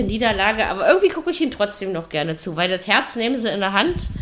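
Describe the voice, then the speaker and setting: A woman's medium-pitched voice at a very fast pace. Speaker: football podcast host. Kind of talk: casual chat. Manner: hesitant, many fillers.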